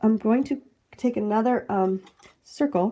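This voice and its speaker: A woman with a fairly high pitch speaks in a somewhat breathy voice with a dark, mellow tone and ordinary pitch variation. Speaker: planner crafting youtuber. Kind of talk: tutorial. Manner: casual.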